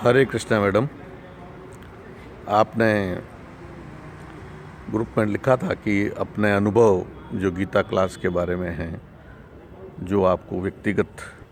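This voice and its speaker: Fairly even intonation broken by long, frequent pauses, with noticeable background noise. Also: man. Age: 60s. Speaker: course participant sharing testimony. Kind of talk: testimony. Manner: halting.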